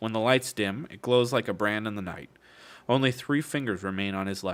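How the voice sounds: Someone reads in a natural voice. The pitch rises and falls an ordinary amount.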